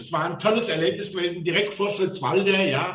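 A man with a high pitch is heard amid noticeable background noise and audible room echo. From Mainz, Rhineland-Palatinate, Germany. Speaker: chauffeur. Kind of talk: casual interview chat.

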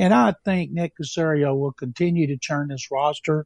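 Somewhat breathy, a man's fairly high voice has a dark, mellow tone and a dry, close sound with no echo. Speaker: veteran sports journalist. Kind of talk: sports talk radio chat. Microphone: dropping connection.

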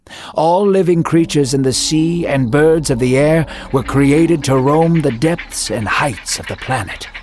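With a dramatic tone and lively intonation, a man speaks at a fairly slow pace. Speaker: story narrator. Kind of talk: scripted Bible story narration. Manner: dramatic, measured, storytelling cadence.

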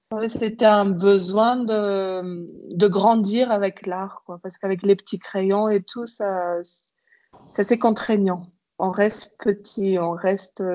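Speaking very slowly, a woman uses a medium-pitched, dark, mellow voice with monotone, flat intonation. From Madagascar. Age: 30s. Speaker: painter, visual artist. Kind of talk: interview. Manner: hesitant, many fillers and repetitions.

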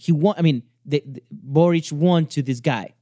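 Pitch moves in an ordinary way. The speech comes at a fairly slow pace. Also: man. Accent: Spanish. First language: Spanish. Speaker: commentator on Latin American news. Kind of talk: casual chat. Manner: halting.

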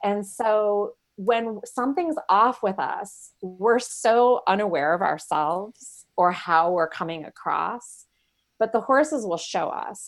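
A woman with an American accent and a normal speaking voice talks at a fairly high pitch with lively intonation, in a very clean recording with a silent background. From Michigan, US. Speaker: horse-based coaching ranch owner. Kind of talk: casual chat.

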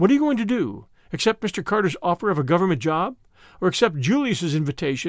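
What is heard here is plain reading aloud.

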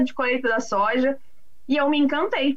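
Her pitch sits high. The woman talks at a moderate pace. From Brazil, São Paulo city. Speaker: agricultural market analyst. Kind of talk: casual interview.

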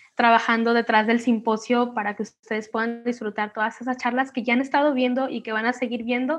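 A woman speaks in a normal speaking voice, fairly high in pitch, with fairly even intonation. The background is quiet. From Mexico, Manzanillo, Colima. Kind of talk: casual interview.

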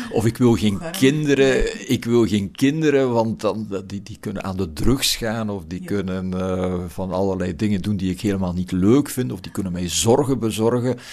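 With a Flemish accent and a fairly low pitch, a man talks at a moderate pace with ordinary pitch variation and hardly any pauses. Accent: Flemish Dutch. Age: old. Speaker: philosophy professor. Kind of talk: reflective interview. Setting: garden house. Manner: hesitant with repetitions.

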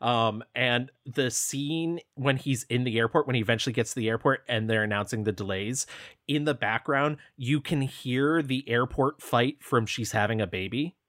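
This man has an American accent and an ordinary speaking voice. His pitch is medium with ordinary variation, and his pace is moderate. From upstate New York, small town. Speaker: film podcast co-host. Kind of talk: casual chat.

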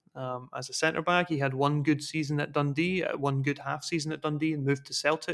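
A man with a Scottish accent speaks at a fairly quick pace in a fairly high pitch, his intonation monotone and flat, with hardly any pauses. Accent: Scottish (Fife). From Scotland, Dunfermline. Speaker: football analyst. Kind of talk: casual chat.

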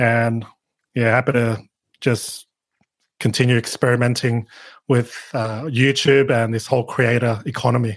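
A man speaks in an Australian accent with monotone, flat intonation. He leaves long, frequent pauses. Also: medium pitch for a man, moderate pace. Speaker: YouTuber on digital marketing. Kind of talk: podcast interview.

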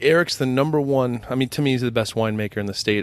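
Very fast, fairly even speech from a man at a medium pitch. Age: 30s. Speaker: brewery co-founder. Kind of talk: casual chat.

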